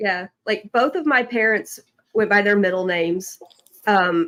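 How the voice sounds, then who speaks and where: With a Southern accent, a woman speaks at a medium pitch with lively intonation. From Tennessee. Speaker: podcast co-host. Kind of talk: casual chat.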